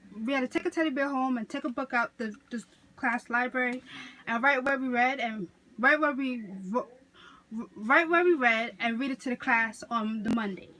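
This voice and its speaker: Speaking with a New York accent, a woman uses a high pitch and a bright, sharp tone at a moderate pace with ordinary pitch variation. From New York City (Queens). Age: 20s. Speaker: college student. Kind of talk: class speech assignment. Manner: casual, self-correcting.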